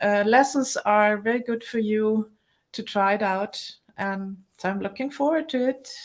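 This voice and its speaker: A woman with a German accent talks in a fairly high pitch in a very clean recording with a silent background. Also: ordinary pitch variation, moderate pace. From Germany. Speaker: movement teacher. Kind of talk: casual interview. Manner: halting.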